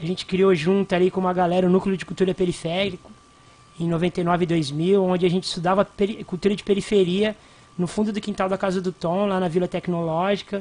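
A man speaks at a fairly quick pace with a high pitch. His intonation is monotone and flat. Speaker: hip hop cultural activist. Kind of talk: radio interview. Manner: casual, slangy.

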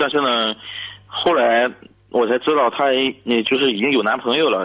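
A man speaks at a medium pitch and a moderate pace. His pitch variation is ordinary. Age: 30s. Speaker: caller, civil servant. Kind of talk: radio call-in advice. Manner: halting.

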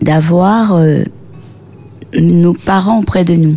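Over noticeable background noise, a woman talks at a very slow pace. Her pitch is fairly low and her intonation lively. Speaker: author. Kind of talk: radio interview.

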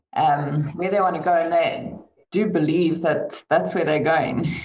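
Audible room echo around a woman's voice with ordinary pitch variation. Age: 30s. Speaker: chartered accountant. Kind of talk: online panel discussion.

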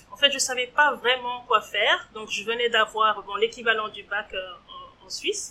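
A woman's bright, sharp tone with lively intonation. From Switzerland, Geneva. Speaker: entrepreneur. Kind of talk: interview. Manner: hesitant, frequent fillers.

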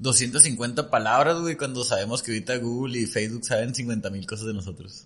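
At a moderate pace, an unremarkable speaking voice talks with hardly any pauses and ordinary pitch variation. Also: man, medium pitch for a man. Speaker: nutritionist and entrepreneur. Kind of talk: casual chat.

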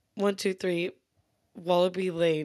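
A put-on robotic character voice sits at a middle pitch. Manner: monotone, robotic, flat.

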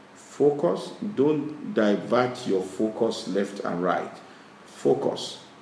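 A man's very slow speech with very wide pitch swings, audible room echo and noticeable background noise. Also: medium pitch for a man. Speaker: business chairman. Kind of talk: interview. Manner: halting.

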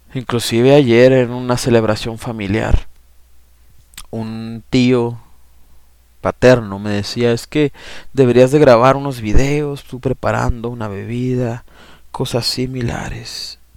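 The speaker goes at a very slow pace in a monotone, flat intonation, with long, frequent pauses. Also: man, medium pitch for a man, big swings in loudness. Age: 30s. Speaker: lay preacher and podcaster. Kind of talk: testimony; sermon.

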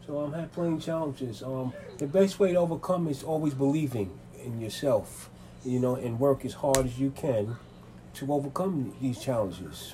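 The voice is somewhat breathy, dark and mellow in tone, with ordinary pitch variation. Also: man, fairly high pitch for a man, moderate pace. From New York City (Manhattan and the Bronx). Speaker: interviewee. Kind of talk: interview. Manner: halting, many fillers.

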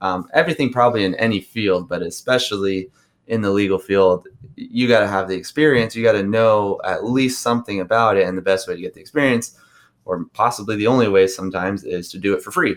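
Talking very fast with big swings in loudness, a man uses a fairly low pitch and ordinary pitch variation. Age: 20s. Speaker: criminal defense lawyer. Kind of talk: casual interview.

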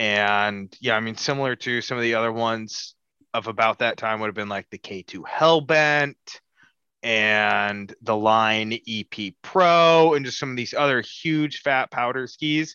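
At a fairly slow pace, an unremarkable speaking voice talks with ordinary pitch variation. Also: man, medium pitch for a man. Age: 20s. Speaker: podcast co-host. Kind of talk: casual chat.

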